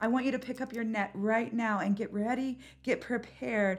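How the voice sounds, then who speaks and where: In a very clean recording with a silent background, a woman with a plain, everyday voice speaks at a fairly high pitch with fairly even intonation. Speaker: podcast host and spiritual coach. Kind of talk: guided meditation. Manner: slow, calm, soothing, with paced breathing cues; gentle, intimate, and encouraging.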